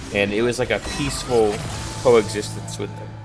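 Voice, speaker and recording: A man with an American accent at a moderate pace, fairly even intonation, music in the background. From Texas. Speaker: gaming streamer. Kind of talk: casual gameplay commentary.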